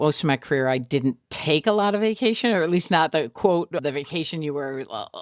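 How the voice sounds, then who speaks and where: A woman with an American accent speaks fairly quickly with lively intonation and a very deep, low pitch. The sound is dry and close, with no echo, in a very clean recording over a silent background. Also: hardly any pauses. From Michigan Upper Peninsula. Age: 60s. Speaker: golf tournament director. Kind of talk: interview conversation.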